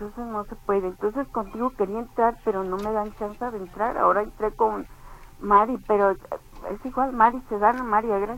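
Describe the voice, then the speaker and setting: A woman talks over background music, her intonation fairly even. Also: fairly high pitch for a woman, moderate pace. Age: 70s. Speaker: caller. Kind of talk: phone-in complaint.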